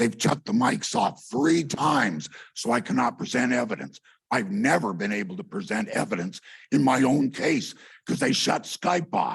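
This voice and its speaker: A man's medium-pitched voice with vocal fry, very wide pitch swings and a moderate pace. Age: 60s. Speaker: member of the public giving comment. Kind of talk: public comment at a county meeting. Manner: agitated.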